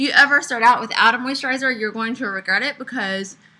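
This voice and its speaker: Noticeable background noise behind a woman's fairly quick delivery. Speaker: makeup tutorial creator. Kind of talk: tutorial.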